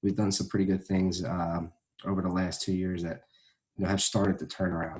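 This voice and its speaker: This is a man with a very deep, low voice and an American accent. The recording is very clean, with a silent background. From South Jersey, US. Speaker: high school football coach. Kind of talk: interview. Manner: hesitant, many fillers.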